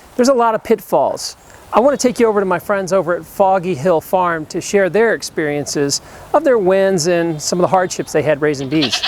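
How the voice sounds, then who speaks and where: With a Southern US accent, a man talks at a fairly quick pace in a high voice, his intonation lively over noticeable background noise. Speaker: documentary host. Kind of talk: documentary narration.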